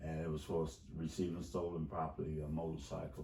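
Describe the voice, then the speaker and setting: Somewhat breathy and very deep, a man's low voice moves at a moderate pace amid audible room echo. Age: 60s. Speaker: wrongful conviction advocate. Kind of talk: interview. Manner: halting.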